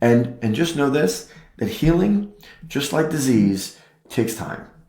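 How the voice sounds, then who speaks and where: Audible room echo carries the voice of a man speaking at a moderate pace. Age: 50s. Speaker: chiropractor. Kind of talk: health talk podcast.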